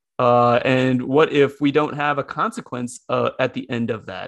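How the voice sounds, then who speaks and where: A man with an American accent and a fairly high pitch, using ordinary pitch variation in an ordinary speaking voice against a quiet background. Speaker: podcast host, school psychology lecturer. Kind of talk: casual chat.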